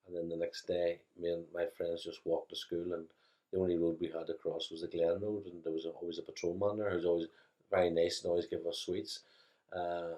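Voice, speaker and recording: A man speaks with a Belfast accent. His pace is fairly quick. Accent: Belfast Northern Irish. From Northern Ireland, West Belfast. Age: 60s. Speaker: interviewee recalling childhood. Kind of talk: interview.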